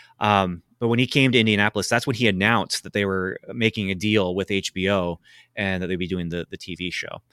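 In a very clean recording with a silent background, a man with a bright, sharp tone speaks at a fairly low pitch and a fairly quick pace, his intonation fairly even. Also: dry, close sound with no echo. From Canada. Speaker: comic book writer and children's pastor. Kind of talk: interview.

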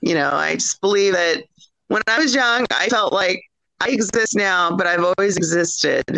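A woman with an American accent speaks at medium pitch and a moderate pace, with ordinary pitch variation. The sound is dry and close with no echo. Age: 40s. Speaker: author and granddaughter of a UFO witness. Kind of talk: interview.

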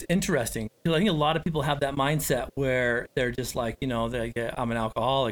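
A man talks at a very fast pace in a medium pitch. His pitch varies in an ordinary way, and the sound is dry and close with no echo. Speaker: podcast host and recovery coach. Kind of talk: podcast interview.

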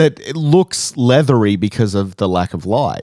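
A man speaks at a medium pitch with an Australian accent and lively intonation. The recording is very clean, with a silent background. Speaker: podcast host. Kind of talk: casual chat.

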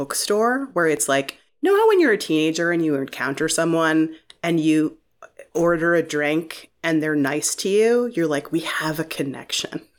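A woman with an American accent, a plain, everyday voice and lively intonation. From Northeast Ohio (Shaker Heights, Cleveland suburb). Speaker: TV writer. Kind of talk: casual chat. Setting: remote call.

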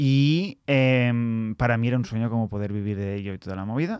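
A man with a medium pitch and ordinary pitch variation uses an ordinary speaking voice at a moderate pace, recorded very cleanly with a silent background and a dry, close sound with no echo. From Spain, Barcelona. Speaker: comedian and podcast co-host. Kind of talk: casual chat.

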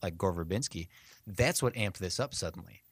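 Recorded very cleanly against a silent background with a dry, close sound and no echo, a man talks at a fairly quick pace in an ordinary speaking voice with ordinary pitch variation. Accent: American. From US Midwest. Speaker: podcast host. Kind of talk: casual chat.

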